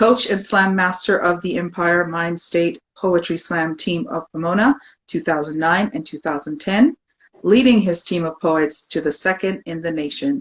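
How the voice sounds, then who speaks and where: Pitched fairly low, a woman speaks at a moderate pace with ordinary pitch variation. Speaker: interview series host. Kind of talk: reading aloud a bio; interview. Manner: excited, animated.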